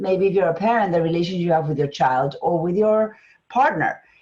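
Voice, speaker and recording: A woman is speaking. She has an Argentine accent. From Argentina. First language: Spanish. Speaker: business strategist and coach. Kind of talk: interview.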